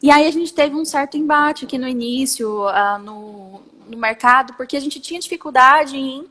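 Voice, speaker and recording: Amid noticeable background noise, a woman with a high pitch uses a raised, projected voice with ordinary pitch variation and big swings in loudness. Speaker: lawyer and startup founder. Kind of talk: interview. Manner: fast.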